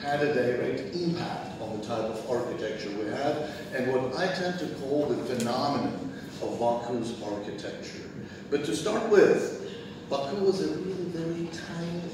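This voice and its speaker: A man's speech at a moderate pace, with strong room echo and noticeable background noise. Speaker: guest lecturer. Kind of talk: lecture. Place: hall. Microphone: camera far.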